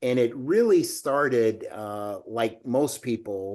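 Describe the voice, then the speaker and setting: A normal speaking voice with an American accent, at a fairly slow pace. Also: man. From US South, Alabama. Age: 60s. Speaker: business executive. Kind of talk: interview.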